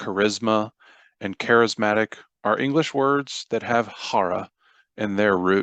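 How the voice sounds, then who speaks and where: A man with an American accent, fairly low in pitch with ordinary pitch variation, at a fairly slow pace, in a dry, close sound with no echo and a quiet background. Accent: Southern and Midwestern flavor. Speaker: audiobook narrator. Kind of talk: reading aloud.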